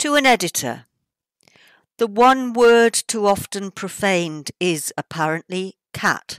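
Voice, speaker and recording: Over a quiet background, a woman talks at a very slow pace with very wide pitch swings, and the sound is dry with no echo. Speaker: poet, author reading her own work. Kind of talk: poetry reading. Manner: witty, satirical. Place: home room. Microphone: webcam.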